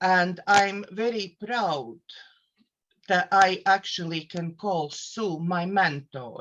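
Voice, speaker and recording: Speaking at a very slow pace, a woman has a medium pitch. Her pitch variation is ordinary. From Latvia. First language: Latvian. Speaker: therapist and life coach. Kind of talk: casual self-introduction on a live show. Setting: live online show. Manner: halting, with fillers.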